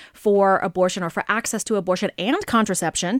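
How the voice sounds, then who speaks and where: A woman's medium-pitched voice at a very fast pace, with ordinary pitch variation, in a dry, close sound with no echo and a very clean recording over a silent background. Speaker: radio host. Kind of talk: panel discussion. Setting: studio.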